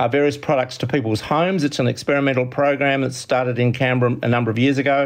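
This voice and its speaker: This man's voice sits fairly high in pitch, with an Australian accent. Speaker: ornithologist. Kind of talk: interview. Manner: hesitant, many fillers.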